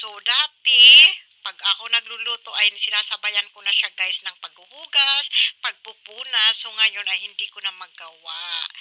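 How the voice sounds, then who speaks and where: With an unremarkable speaking voice, a woman talks at a fairly slow pace in a fairly high pitch with ordinary pitch variation and big swings in loudness, the sound dry and close with no echo. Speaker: cooking vlogger. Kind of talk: cooking tutorial. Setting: home kitchen. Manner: casual, chatty.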